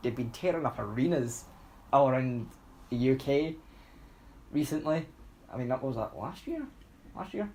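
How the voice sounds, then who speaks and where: A man's medium-pitched voice in a Scottish accent. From Scotland. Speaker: podcast co-host. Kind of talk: casual chat. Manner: animated.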